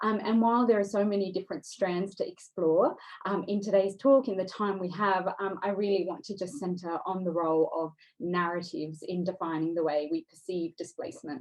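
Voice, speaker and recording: With an Australian accent, a woman speaks at a fairly quick pace, her medium pitch showing ordinary variation. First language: Dari. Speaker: writer and speaker on displacement. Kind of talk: seminar talk. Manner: hesitant, many fillers.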